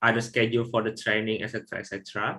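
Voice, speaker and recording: A man with a non-native accent speaks at a medium pitch in a bright, sharp tone. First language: not English. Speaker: software trainer. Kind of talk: online training webinar. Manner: halting.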